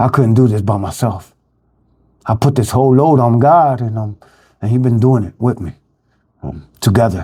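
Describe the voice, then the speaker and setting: A man with a Philadelphia accent talks at a moderate pace and medium pitch, his tone dark, mellow and somewhat breathy, with ordinary pitch variation. He leaves long, frequent pauses, and the recording is very clean with a silent background. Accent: Philadelphia urban American English. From Philadelphia (North Philly). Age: 50s. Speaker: recovering addict sharing his life story. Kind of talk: personal testimony monologue. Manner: halting, many fillers (um, repeats).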